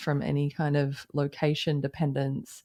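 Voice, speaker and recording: A woman with an Australian accent and a very deep, low pitch, at a moderate pace over a quiet background. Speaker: company founder and CEO. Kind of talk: interview.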